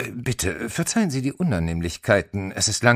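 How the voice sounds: The voice heard here is a natural reading voice.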